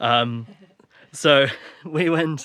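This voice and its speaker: A man speaks with an English accent and a bright, sharp tone. His pitch varies in an ordinary way. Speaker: filmmaker. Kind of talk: casual chat.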